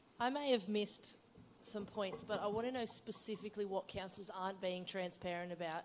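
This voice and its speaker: A woman speaks at a fairly quick pace with an Australian accent. There is noticeable background noise behind her. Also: medium pitch for a woman, fairly even intonation. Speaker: council events officer, audience member. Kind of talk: conference Q&A question. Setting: conference room with audience. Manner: loud.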